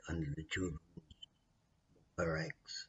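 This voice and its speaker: A man's very deep, low voice, somewhat breathy, with an Australian accent. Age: 60s. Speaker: vlogger telling his life story. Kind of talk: personal testimony. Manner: halting.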